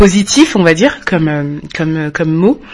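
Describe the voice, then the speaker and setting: Over noticeable background noise, a woman with a fairly low pitch talks at a very slow pace with ordinary pitch variation. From France. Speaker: podcast co-host. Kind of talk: casual interview.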